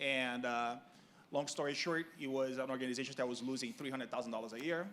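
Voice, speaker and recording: A man with a Brazilian Portuguese accent, medium pitch, fairly even intonation and a very fast pace. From Brazil, Rio de Janeiro. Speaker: sports organization executive. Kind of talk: panel discussion. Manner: careful enunciation.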